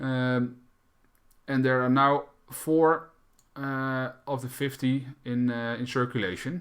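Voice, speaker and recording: A man's medium-pitched voice with a Dutch accent. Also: very clean recording, silent background. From Netherlands. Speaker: crypto YouTuber. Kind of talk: tutorial. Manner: halting.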